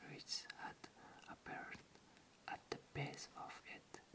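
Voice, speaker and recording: The speaker is whispering. The pace is very slow. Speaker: ASMR channel host reading an audiobook. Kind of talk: ASMR bedtime story reading. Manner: soft-spoken, whispered, slow.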